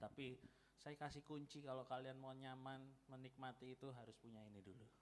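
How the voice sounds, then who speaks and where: With a Javanese accent, a man talks in fairly even intonation. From East Java, Malang. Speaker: guest preacher. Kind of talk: sermon. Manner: casual, conversational.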